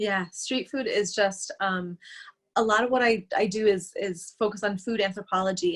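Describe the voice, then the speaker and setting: At a moderate pace, the speaker uses a somewhat breathy voice with fairly even intonation and an American accent. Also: woman. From United States. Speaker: food business owner. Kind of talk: interview.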